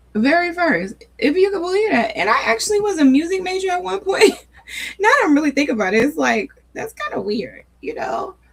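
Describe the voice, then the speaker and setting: Noticeable background noise sits behind a woman with an extremely high pitch and very wide pitch swings. Her tone is relaxed and her pace fairly quick. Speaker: faith and wellness channel host. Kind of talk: casual chat. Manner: relaxed, conversational.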